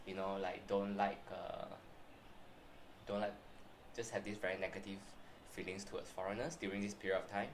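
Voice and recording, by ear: With a Malaysian accent, a man talks at a low pitch with little pitch movement. He leaves long, frequent pauses, and the room echoes audibly. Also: moderate pace.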